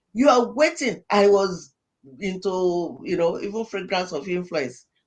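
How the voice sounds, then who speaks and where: Lively intonation marks this woman's medium-pitched voice. She speaks at a fairly slow pace. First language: not English. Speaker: pastor and life coach. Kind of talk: podcast interview. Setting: studio. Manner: animated.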